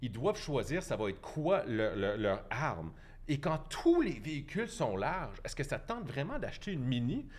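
Here a man talks with vocal fry at a moderate pace. His fairly high pitch moves in very wide swings. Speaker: cycling and transit advocate. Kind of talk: debate.

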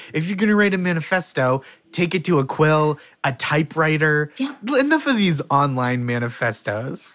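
A man with an unremarkable speaking voice and fairly high pitch speaks with lively intonation. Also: moderate pace. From Boston area, US. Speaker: comedian and game show host. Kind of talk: casual comedy game show banter.

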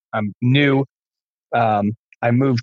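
A man with an American accent speaks at a very slow pace with a medium pitch and fairly even intonation. The sound is dry and close, with no echo. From California. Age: 30s. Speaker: music producer and DJ. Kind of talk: casual chat. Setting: at home, remote call.

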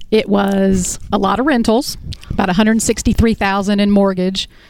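A woman speaks in a normal speaking voice, her medium pitch held in fairly even intonation. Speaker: debt-free guest, landlord. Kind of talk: on-air interview. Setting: studio.

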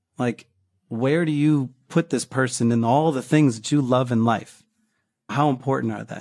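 On a very clean recording with a silent background, a man uses a plain, everyday voice at a medium pitch, keeping a moderate pace and fairly even intonation. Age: 50s. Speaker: podcast listener sharing a breakup story. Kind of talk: interview.

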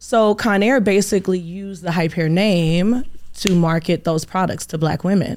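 A woman with an American accent and an unremarkable speaking voice, at a moderate pace and medium pitch with ordinary pitch variation, in a very clean recording with a silent background. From Inglewood, California. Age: 30s. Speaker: magazine owner and beauty supply entrepreneur. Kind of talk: interview.

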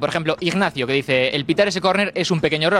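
Noticeable background noise surrounds a man talking at a very fast pace. His pitch shows ordinary variation. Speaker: co-host reading viewer messages. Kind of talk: show hosting, reading social media messages.

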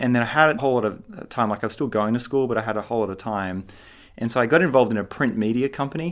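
In an Australian accent, a man talks at a very fast pace with medium pitch and ordinary pitch variation. The recording is very clean, with a silent background. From Australia, Sydney. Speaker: tech startup founder and CEO. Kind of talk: interview.

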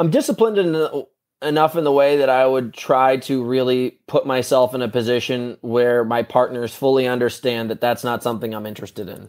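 With an American accent and an unremarkable speaking voice, a man talks at a fairly quick pace and medium pitch, using ordinary pitch variation and hardly any pauses. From New York and Connecticut, US. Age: 30s. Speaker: athlete. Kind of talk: casual chat.

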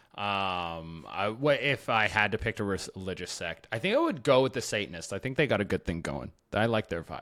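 Lively intonation marks this man's fairly low voice. The tone is bright and sharp. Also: fairly quick pace, very clean recording, silent background. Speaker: podcast co-host. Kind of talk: casual comedy chat. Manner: laid-back, casual.

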